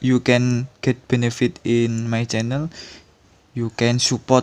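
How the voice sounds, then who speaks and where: Very slow speech in a non-native accent, monotone and flat in intonation, with a dry, close sound and no echo. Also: man. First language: not English. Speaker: tutorial channel host. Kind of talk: tutorial. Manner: halting.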